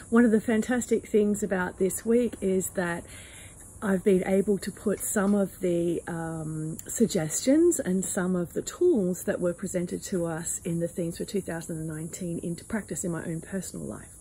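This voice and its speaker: A woman speaks in a somewhat breathy voice with a dark, mellow tone and ordinary pitch variation. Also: medium pitch for a woman, moderate pace. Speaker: spiritual channeler. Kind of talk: personal reflection talk. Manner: halting, with fillers.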